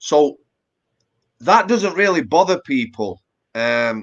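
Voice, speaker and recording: A man with a Yorkshire accent. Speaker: former prison officer and author. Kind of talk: interview. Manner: casual, conversational with fillers.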